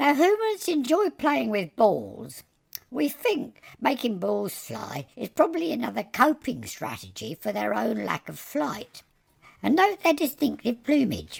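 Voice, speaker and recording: The speaker uses a put-on character voice with fairly high pitch. The pace is fairly slow. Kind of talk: nature documentary narration. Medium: stage. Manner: dry, wry.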